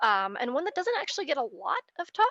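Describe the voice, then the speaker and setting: This is a woman's voice. The sound is dry and close, with no echo. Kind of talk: personal testimony talk. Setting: video call. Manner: fast.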